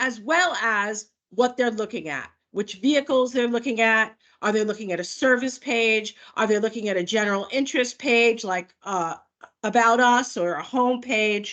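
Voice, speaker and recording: In a normal speaking voice, a woman with an American accent talks at a moderate pace and a fairly high pitch. Her pitch varies in an ordinary way, and the background is quiet. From New York. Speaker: product manager. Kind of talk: webinar presentation. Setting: video call. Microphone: video call.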